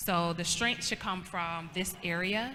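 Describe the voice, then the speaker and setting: The tone is bright and sharp. Room echo is audible. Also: woman. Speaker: pageant queen teaching etiquette. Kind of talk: workshop demonstration.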